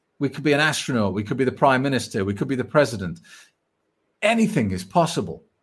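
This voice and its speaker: A man talks very fast at a medium pitch, somewhat breathy, with very wide pitch swings. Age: 40s. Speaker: sobriety coach. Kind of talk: live stream Q&A.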